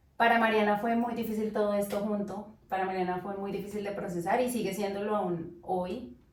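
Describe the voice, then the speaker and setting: Spoken at a moderate pace with hardly any pauses and fairly even intonation, over noticeable background noise. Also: woman, medium pitch for a woman. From Colombia, Tolima (Armero Guayabal). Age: 20s. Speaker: nurse. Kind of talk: interview.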